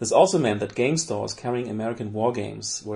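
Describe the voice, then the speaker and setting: A man's very fast speech at medium pitch, dark and mellow in tone, with vocal fry. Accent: German. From Germany. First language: German. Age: 40s. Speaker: board game news correspondent. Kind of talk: scripted essay reading.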